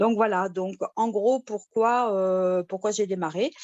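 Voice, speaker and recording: Delivery comes at a fairly slow tempo. The pitch moves in an ordinary way. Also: woman. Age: 60s. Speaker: retired nurse giving a testimonial. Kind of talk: testimony. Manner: hesitant, many fillers.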